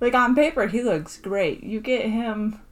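A woman's fairly high, somewhat breathy voice at a very slow pace, with ordinary pitch variation. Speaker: podcast host. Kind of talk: casual chat.

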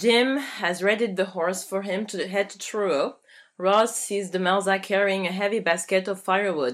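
Intonation here is fairly even. The reading voice sounds unforced.

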